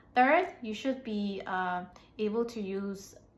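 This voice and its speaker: A woman with an American accent speaks at a fairly high pitch, somewhat breathy, with lively intonation and audible room echo. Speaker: English teacher. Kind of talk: tutorial. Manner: hesitant, many fillers.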